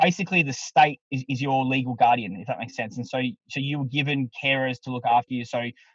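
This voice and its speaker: A man talks very fast at medium pitch in a somewhat breathy voice, with ordinary pitch variation and big swings in loudness, recorded dry and close with no echo. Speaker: MC and public speaking coach. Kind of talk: casual podcast interview. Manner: animated.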